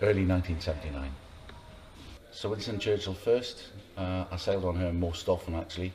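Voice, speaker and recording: With a South Welsh accent, a man speaks fairly quickly but with long, frequent pauses, his very deep, low voice somewhat breathy, dark and mellow in tone, with fairly even intonation. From Swansea, South Wales. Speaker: sail training watch officer. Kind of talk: oral history interview.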